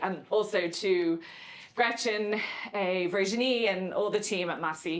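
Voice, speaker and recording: A woman speaks with an Irish accent and ordinary pitch variation. Audible room echo surrounds her voice. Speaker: novelist and creative writing professor. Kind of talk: lecture. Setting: lecture room with audience. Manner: deliberately slow.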